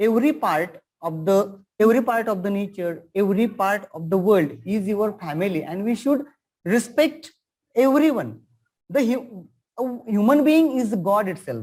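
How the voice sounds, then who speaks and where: This man has a high voice and lively intonation, and he speaks at a moderate pace. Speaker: teacher. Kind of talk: webinar interview.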